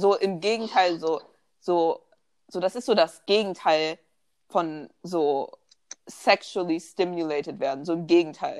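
A woman's fairly low voice at a fairly slow pace, with ordinary pitch variation and long, frequent pauses. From Germany, Bonn. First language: bilingual German and English (speaking German). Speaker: podcast co-host. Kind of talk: casual chat.

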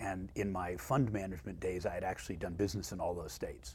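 Lively in intonation and fairly quick in pace, a man with a Californian accent speaks in a very deep, low voice with vocal fry. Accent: Californian American. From Los Angeles, San Fernando Valley. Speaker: homebuilding executive. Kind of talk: interview conversation.

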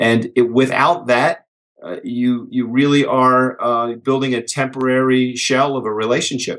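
A man with an unremarkable speaking voice talks at a fairly slow pace, his medium-pitched delivery fairly even in intonation. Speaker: author and business speaker. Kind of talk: podcast interview.

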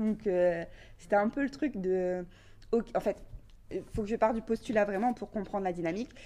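Her tone is dark and mellow, with a medium pitch and ordinary variation, as a woman speaks at a moderate pace. She takes long, frequent pauses. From northern France, Valenciennes area. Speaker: hip-hop dancer and media founder. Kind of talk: casual interview.

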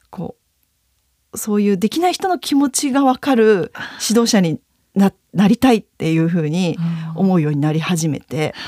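A woman with a medium-pitched voice and a dark, mellow tone speaks at a moderate pace with very wide pitch swings and long, frequent pauses, in a dry, close sound with no echo. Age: 30s. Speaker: dance and fitness instructor. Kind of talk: interview.

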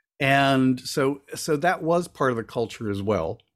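This man speaks at a moderate pace in a medium pitch, with ordinary pitch variation and an unremarkable speaking voice. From Florida (born in Cuba). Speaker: author and witchcraft elder. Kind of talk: casual chat. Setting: video call.

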